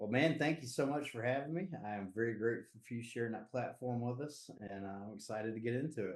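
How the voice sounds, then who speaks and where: With a Southern US accent, a man talks at a very fast pace and medium pitch, with ordinary pitch variation and hardly any pauses. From US Southeast. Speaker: recovery advocate and community leader. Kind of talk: podcast interview. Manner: casual, halting with fillers.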